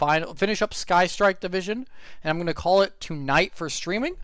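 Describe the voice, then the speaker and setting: In a very clean recording with a silent background, a man speaks loud and at a high pitch. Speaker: streamer and commentator. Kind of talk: live stream commentary. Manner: halting.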